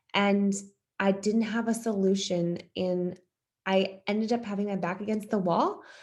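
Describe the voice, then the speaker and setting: A woman with an American accent speaks in an unremarkable speaking voice at a medium pitch. Her pace is moderate and her intonation fairly even. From US East Coast. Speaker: fitness coach. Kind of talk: testimony.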